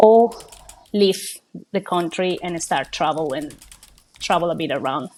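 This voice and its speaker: This woman speaks in a Colombian accent. Her pitch sits fairly low. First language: Spanish. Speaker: small business owner. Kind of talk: interview. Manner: hesitant, many fillers.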